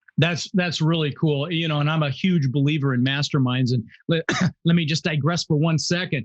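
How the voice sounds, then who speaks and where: This man, with an American accent, talks at a fairly quick pace in a fairly high, somewhat breathy voice whose loudness stays very even, and the sound is dry and close with no echo. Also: fairly even intonation. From Netherlands, raised in Denver, Colorado. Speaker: real estate investor. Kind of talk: interview storytelling.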